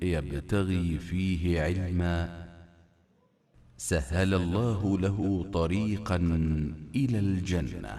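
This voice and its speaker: A quiet man with a very deep, low voice and a dark, mellow, calm tone, talking very slowly with ordinary pitch variation and long, frequent pauses. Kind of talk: religious hadith reading. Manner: calm, quiet.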